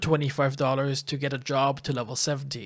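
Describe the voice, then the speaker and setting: The voice is somewhat breathy and moves at a moderate pace. It's a very clean recording with a silent background. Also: man. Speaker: gaming YouTuber. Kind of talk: opinion video commentary. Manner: monotone.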